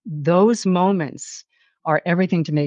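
A woman with a New York accent speaks against a quiet background. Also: dry, close sound with no echo. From New York City. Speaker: author. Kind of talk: interview. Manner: animated.

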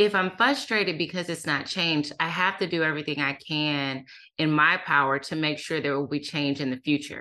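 Over a quiet background, a woman speaks in a very deep, low pitch with a bright, sharp tone. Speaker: author and workplace diversity expert. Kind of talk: interview. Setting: remote call. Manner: soothing.

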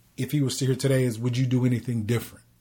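Dark and mellow in tone, this man's voice is somewhat breathy. His pitch sits at a medium level. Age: 40s. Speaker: podcast co-host. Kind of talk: casual chat.

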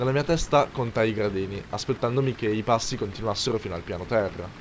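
A man with a normal speaking voice talks at a fairly quick pace and medium pitch with lively intonation. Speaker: creepypasta narrator. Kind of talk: ghost story telling, first-person horror narration.

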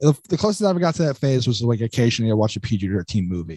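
Over a quiet background, a man speaks very fast and somewhat breathily, with very wide pitch swings and a dry, close sound with no echo. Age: 20s. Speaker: stand-up comedian. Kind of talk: casual chat.

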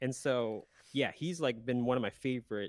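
In a normal speaking voice, a man talks at a moderate pace and medium pitch, with a dry, close sound and no echo. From South Central Pennsylvania, US. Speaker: emo pop punk musician. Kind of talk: casual interview chat.

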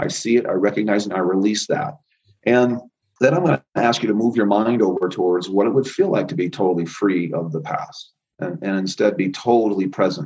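A man with an ordinary speaking voice, fairly low in pitch. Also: fairly quick pace. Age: 50s. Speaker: chiropractor and energy healer. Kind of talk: interview; guided healing exercise.

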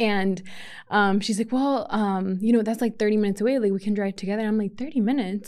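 A woman with an unremarkable speaking voice talks in a fairly high pitch with ordinary pitch variation. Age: 20s. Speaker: podcast host. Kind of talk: solo podcast monologue. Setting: podcast studio. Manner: casual, filler-heavy.

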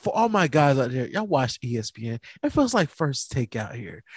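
Somewhat breathy and fairly high-pitched, a man with an American accent talks at a moderate pace with very wide pitch swings in a dry, close sound with no echo. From North Carolina. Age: 30s. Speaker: podcast host. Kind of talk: casual chat. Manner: animated.

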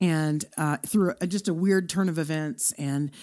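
A woman with a Texan accent speaks at a moderate pace in a very deep, low voice with ordinary pitch variation. The recording is very clean, with a silent background. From Texas, Irving (Dallas area). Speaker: podcaster. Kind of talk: interview.

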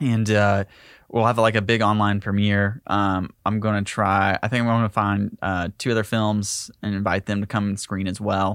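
The speaker has a Southern US accent and a flat, monotone delivery at a moderate pace. The sound is dry and close with no echo, on a very clean recording with a silent background. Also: man, fairly low pitch for a man. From US South, Tennessee/Georgia line near Chattanooga. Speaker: filmmaker. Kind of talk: casual interview.

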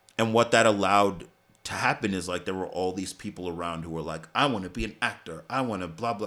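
A man with an American accent talks at a very fast pace in a very deep, low pitch with a bright, sharp tone and ordinary pitch variation, on a very clean recording with a silent background. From New York City, Staten Island. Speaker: stage actor. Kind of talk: casual chat.

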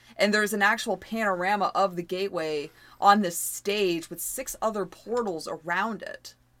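A woman with a normal speaking voice and medium pitch speaks in an American accent at a moderate pace. Her pitch variation is ordinary, but her loudness swings widely. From US. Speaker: podcast co-host. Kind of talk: casual chat.

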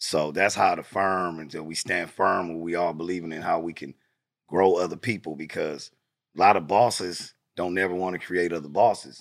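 A man with an American accent and a very deep, low pitch speaks at a moderate pace with fairly even intonation and big swings in loudness, on a very clean recording with a silent background. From Los Angeles, California. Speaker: music industry PR partner and podcaster. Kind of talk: casual interview chat.

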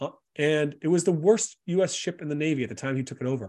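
With an American accent, a man talks at a fairly quick pace in a dark, mellow tone. His pitch swings very widely against a quiet background. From US South. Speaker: author and coach. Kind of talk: casual interview chat.

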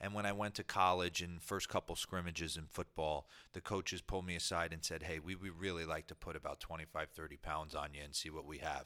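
A man with a New Jersey accent speaks at a very fast pace in a very deep, low voice, his intonation fairly even. His tone is bright and sharp, on a very clean recording with a silent background. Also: hardly any pauses. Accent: New Jersey American. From US Northeast, New Jersey. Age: 40s. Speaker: former professional baseball player. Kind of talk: interview. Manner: halting, with frequent repetitions.

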